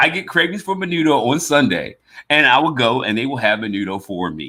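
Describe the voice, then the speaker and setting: An animated man with an American accent speaks in a bright, sharp tone, his pitch swinging very wide. His voice carries vocal fry. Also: medium pitch for a man. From US South (West Virginia, Alabama). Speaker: podcast host. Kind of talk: casual chat. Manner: animated, many repeated words and restarts.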